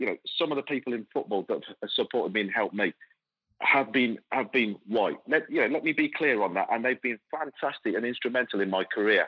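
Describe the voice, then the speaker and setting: At a very fast pace, the speaker talks with an English Midlands accent and ordinary pitch variation. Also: man. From England, Coventry. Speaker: football club executive. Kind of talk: interview. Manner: halting.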